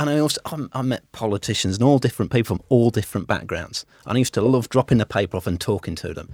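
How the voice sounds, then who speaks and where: Over a silent background in a very clean recording, a man with a medium pitch talks at a very fast pace with lively intonation. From United Kingdom. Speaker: wealth manager. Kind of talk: casual interview. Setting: studio.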